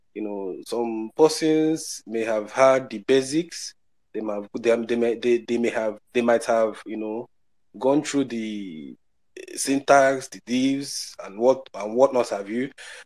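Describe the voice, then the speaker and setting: A man with an African accent speaks very slowly, with ordinary pitch variation and big swings in loudness. The recording is very clean, with a silent background. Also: medium pitch for a man. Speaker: software developer. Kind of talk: casual group discussion. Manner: halting, many repetitions.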